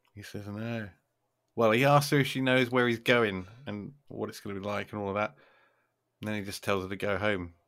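In a very clean recording with a silent background, a man uses an ordinary speaking voice at a fairly low pitch, with fairly even intonation and big swings in loudness. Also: fairly quick pace. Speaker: podcast host. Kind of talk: casual chat.

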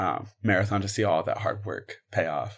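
An ordinary speaking voice at a moderate pace, on a very clean recording with a silent background. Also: man. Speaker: student podcast host. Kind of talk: interview.

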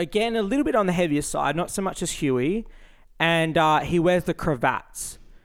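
With an Australian accent, a man talks at a moderate pace in a high pitch with lively intonation, on a very clean recording with a silent background. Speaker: podcast co-host. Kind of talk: casual chat.

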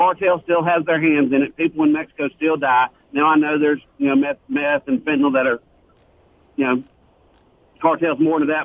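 Talking at a very fast pace, a man with a Southern US accent uses fairly even intonation at a fairly high pitch. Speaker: caller. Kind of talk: call-in radio chat. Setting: phone call.

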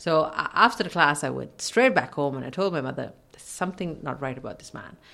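A woman's very deep, low voice with an Irish accent, bright and sharp in tone, with lively intonation, big swings in loudness and a fairly quick pace. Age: 40s. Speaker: radio host. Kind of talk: casual chat.

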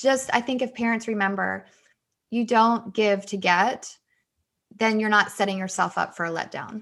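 A normal speaking voice with fairly even intonation over a quiet background. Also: woman, fairly high pitch for a woman, moderate pace. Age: 40s. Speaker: author. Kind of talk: interview.

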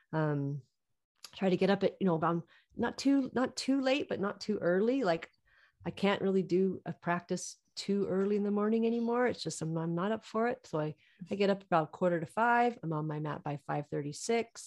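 The woman has an American accent and a medium pitch, with lively intonation at a fairly quick pace. Her background is quiet. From US West, Reno, Nevada. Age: 40s. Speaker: yoga teacher. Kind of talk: casual interview.

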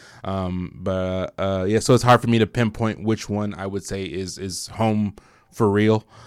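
In an American accent, an ordinary speaking voice moves at a fairly slow pace with fairly even intonation, on a very clean recording with a silent background. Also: man, fairly low pitch for a man. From Detroit, Michigan, then Indiana as teenager. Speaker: podcast co-host. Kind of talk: casual chat. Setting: studio.

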